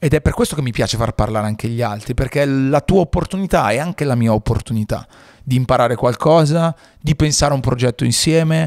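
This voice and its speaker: A man at medium pitch and a very fast pace, in a dry, close sound with no echo. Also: ordinary pitch variation. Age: 30s. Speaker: podcast host and radio presenter. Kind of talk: casual interview chat. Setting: studio.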